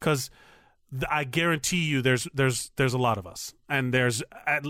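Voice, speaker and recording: In a very clean recording with a silent background and a dry, close sound with no echo, a man speaks at a moderate pace with a bright, sharp tone and ordinary pitch variation. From Miami, Florida (Cuban-American). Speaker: podcast co-host. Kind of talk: casual chat. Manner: loud.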